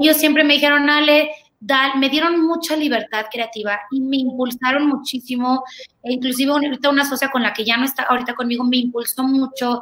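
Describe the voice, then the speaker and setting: High-pitched, a woman talks at a fairly quick pace. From Honduras (Tegucigalpa), Mexican family. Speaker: pediatric dentist. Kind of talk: interview. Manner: fast, energetic.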